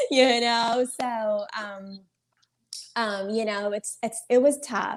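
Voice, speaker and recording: Very slow speech with a Persian accent carries ordinary pitch variation. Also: woman. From Iran. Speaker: lawyer. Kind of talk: interview. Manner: hesitant, many fillers.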